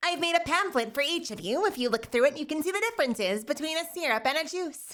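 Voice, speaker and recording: A squeaky, high-pitched, put-on character voice at a very fast pace. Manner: nerdy, pedantic.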